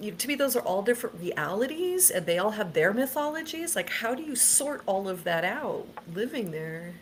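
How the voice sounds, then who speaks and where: A woman at a fairly high pitch with very wide pitch swings, a moderate pace and hardly any pauses, over noticeable background noise. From United States. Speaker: paranormal experiencer. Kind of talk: casual chat.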